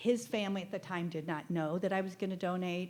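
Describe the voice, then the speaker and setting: A woman with an American accent and an unremarkable speaking voice, fairly even intonation, moderate pace. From US Midwest (Nebraska). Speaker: living kidney donor. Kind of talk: group discussion.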